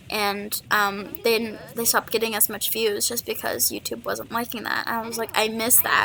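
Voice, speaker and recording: A woman speaks quietly at a moderate pace. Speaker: gaming YouTuber. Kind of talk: casual podcast-style monologue. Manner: quiet, holding voice down.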